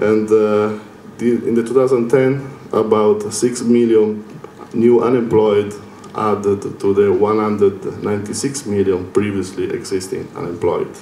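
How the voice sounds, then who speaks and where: A man with an Italian accent speaks at a fairly low pitch, his intonation fairly even. Audible room echo and noticeable background noise fill the recording. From Italy. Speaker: lecturer. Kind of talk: lecture. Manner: hesitant with fillers.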